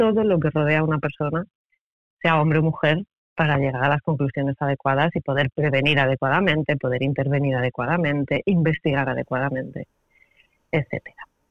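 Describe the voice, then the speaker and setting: A woman's very deep, low voice at a moderate pace. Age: 40s. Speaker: sociologist and criminologist, author. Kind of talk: interview. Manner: hesitant, repeats words.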